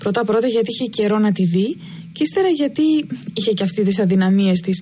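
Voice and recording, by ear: The intonation here is lively. The speaker is reading aloud in a natural voice.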